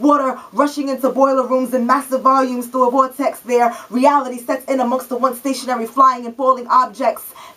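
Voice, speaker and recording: Over noticeable background noise, a woman with a high pitch uses a raised, projected voice in a monotone, flat intonation, talking at a fairly quick pace with hardly any pauses. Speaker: spoken word poet. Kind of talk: spoken word poetry performance.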